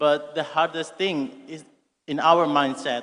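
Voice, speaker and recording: Speaking with an Indonesian accent, a man has a fairly high pitch and fairly even intonation. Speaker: university student asking question. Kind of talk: audience question at conference. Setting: conference hall with audience. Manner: reading from phone.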